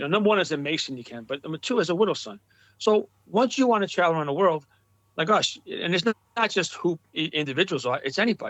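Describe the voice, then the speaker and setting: In a New York accent, a man talks very fast at a high pitch with lively intonation. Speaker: Masonic motorcycle club leader. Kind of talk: casual interview chat. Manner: animated.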